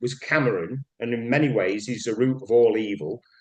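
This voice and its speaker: A man with a Mancunian accent, lively intonation and a moderate pace. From northern England, Manchester. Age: 60s. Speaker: broadcaster and cultural commentator. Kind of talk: casual chat. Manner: animated.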